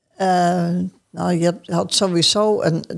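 Intonation stays fairly even as the speech moves at a very slow pace. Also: woman, very clean recording, silent background. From Groningen, northern Netherlands. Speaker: churchgoer sharing life story. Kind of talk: casual interview conversation. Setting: church.

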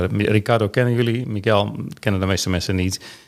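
A man speaks in an ordinary speaking voice, fairly low in pitch. His intonation stays fairly even. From Netherlands, Groningen (Veendam). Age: 60s. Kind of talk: casual chat. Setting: studio.

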